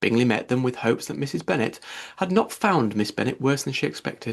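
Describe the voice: With vocal fry and lively intonation, a man speaks at a medium pitch and a fairly quick pace.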